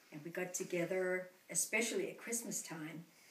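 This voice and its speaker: Noticeable noise sits behind the voice, and the room adds audible echo. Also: woman. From Denmark, Copenhagen. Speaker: grandmother interviewed by grandchild. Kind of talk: family interview, reminiscing.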